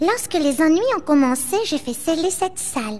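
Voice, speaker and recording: A female-sounding voice, high in pitch, is put on as a character voice over clear background noise. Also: moderate pace. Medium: fan dub. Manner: polite, regal.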